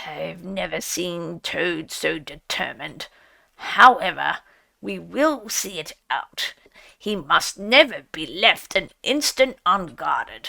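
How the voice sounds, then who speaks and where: A raspy, put-on character voice from a woman at medium pitch and a fairly slow pace. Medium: read story. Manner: solemn, oratorical.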